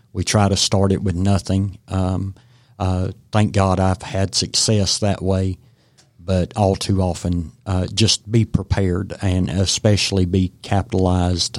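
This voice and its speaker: Speaking slowly with an Appalachian accent, a man delivers a flat monotone in a very deep, low voice, recorded dry and close with no echo against a silent, very clean background. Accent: Southern US (Appalachian). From Western North Carolina. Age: 50s. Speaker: realtor and veteran. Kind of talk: radio interview. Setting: radio studio. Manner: halting, many fillers.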